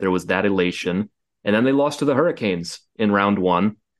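A man talks in an unremarkable speaking voice, fairly low in pitch with ordinary pitch variation, over a quiet background. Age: 20s. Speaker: hockey podcast host. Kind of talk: casual chat.

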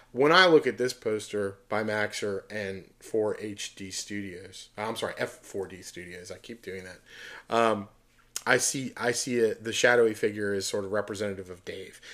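A plain, everyday voice moves at a moderate pace with big swings in loudness. The recording is very clean, with a silent background. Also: man. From Pittsburgh, Pennsylvania. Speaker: podcast host, concert poster collector. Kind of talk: casual chat.

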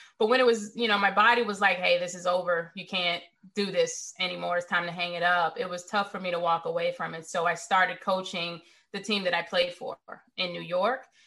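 A woman's normal speaking voice at a medium pitch, in an American accent, with a fairly quick pace and fairly even intonation. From US South, Richmond, Virginia. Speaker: cybersecurity executive. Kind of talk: interview.

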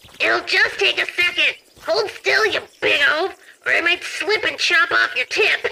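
This put-on character voice has an extremely high pitch. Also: moderate pace. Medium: audio drama. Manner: sarcastic, crude, gleeful.

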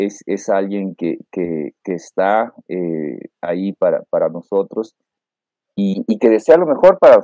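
Heard with a dry, close sound and no echo, the talking proceeds at a fairly slow pace. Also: man. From northern Mexico, Reynosa, Tamaulipas. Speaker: lawyer and university lecturer. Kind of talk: interview. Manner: halting, many fillers and repetitions; mature-sounding way of speaking.

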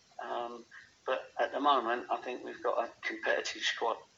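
A man talks with an English accent. There is noticeable background noise. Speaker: football manager. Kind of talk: interview. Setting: phone call.

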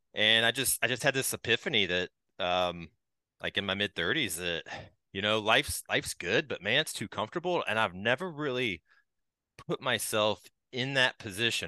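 Against a quiet background, a man's bright, sharp tone carries lively intonation. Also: dry, close sound with no echo. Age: 40s. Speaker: author and coach. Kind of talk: podcast interview.

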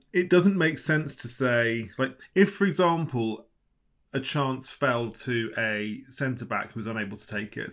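A man speaks in an unremarkable speaking voice at a moderate pace with lively intonation. The recording is very clean, with a silent background. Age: 30s. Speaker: football journalist. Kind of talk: casual chat.

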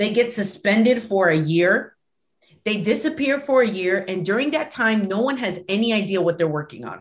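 Lively intonation marks a woman's unremarkable speaking voice, which sits at a medium pitch and moves at a moderate pace. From US mainland, Puerto Rican family. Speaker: professor. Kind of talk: interview.

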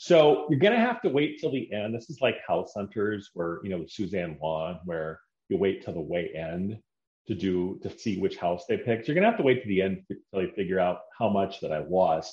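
An ordinary speaking voice belongs to a man with fairly low pitch and lively intonation. He keeps a moderate pace against a quiet background. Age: 40s. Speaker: podcast host. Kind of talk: solo monologue.

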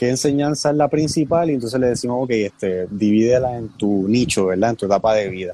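A man speaks at a medium pitch. His voice has a dark, mellow tone. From Puerto Rico. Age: 20s. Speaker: young church leader. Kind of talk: casual chat.

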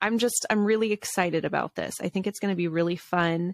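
A woman speaks with ordinary pitch variation. The recording is very clean, with a silent background and a dry, close sound with no echo. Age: 30s. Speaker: podcast host, stay-at-home mom and content creator. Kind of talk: casual solo chat. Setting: home studio in basement.

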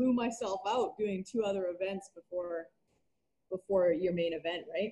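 A woman in a Western Canadian accent talks at a fairly quick pace. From Canada, Vancouver Island, British Columbia. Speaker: kettlebell athlete and coach. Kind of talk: casual interview.

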